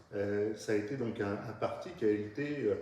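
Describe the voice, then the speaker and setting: Noticeable background noise and audible room echo surround a man who speaks at a fairly slow pace with ordinary pitch variation. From Paris region. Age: 60s. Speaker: local party leader. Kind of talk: interview. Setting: at his home. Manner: hesitant, many fillers.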